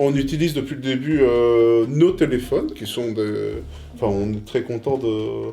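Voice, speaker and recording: Music plays in the background, and there is audible room echo. The speaker goes at a fairly slow pace with ordinary pitch variation. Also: man, medium pitch for a man. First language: Italian (speaking French). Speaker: co-host of interview channel. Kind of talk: casual anniversary chat. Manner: hesitant, many fillers.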